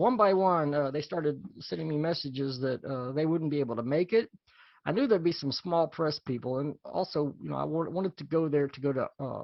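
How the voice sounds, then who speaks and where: Delivery is fairly fast. The pitch varies the usual amount. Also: man, fairly high pitch for a man. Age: 60s. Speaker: small press comics reviewer and show co-host. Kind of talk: casual chat. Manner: halting.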